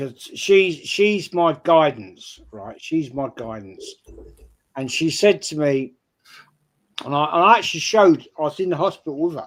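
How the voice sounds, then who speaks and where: A man speaks at a moderate pace with a fairly high pitch. His intonation is lively, and his loudness swings widely. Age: 60s. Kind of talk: casual chat. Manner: halting.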